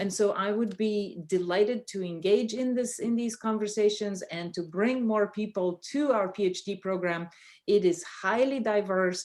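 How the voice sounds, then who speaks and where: With a Bulgarian accent, a woman talks at a moderate pace with ordinary pitch variation and hardly any pauses. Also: medium pitch for a woman. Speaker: professor. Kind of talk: panel discussion. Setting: video call. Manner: halting.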